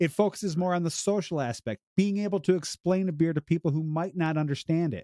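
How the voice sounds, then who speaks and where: Talking at a very fast pace with hardly any pauses, a man with an American accent has a high pitch, a dark, mellow tone, and ordinary pitch variation, recorded dry and close with no echo. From Illinois, US Midwest. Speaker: beer podcast host. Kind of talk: casual chat.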